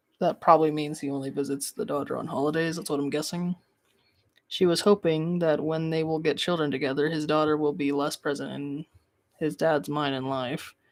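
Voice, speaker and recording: The delivery moves at a fairly quick pace. The recording is very clean, with a silent background. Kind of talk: reddit story reading on a live stream. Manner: calm, sleep-friendly.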